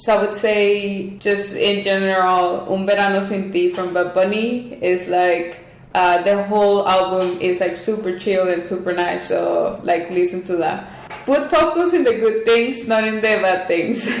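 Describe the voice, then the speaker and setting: A woman's medium-pitched voice with a Spanish accent, at a fairly slow pace with ordinary pitch variation, amid noticeable background noise and audible room echo. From Mexico. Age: 20s. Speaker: Olympic archer. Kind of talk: podcast interview. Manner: casual, filler-heavy.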